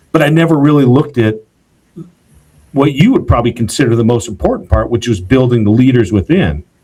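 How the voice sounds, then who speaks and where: A very fast, somewhat breathy man's voice at medium pitch, dark and mellow in tone, with lively intonation and very even loudness. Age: younger than 77. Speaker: podcast host, founder. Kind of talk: podcast interview.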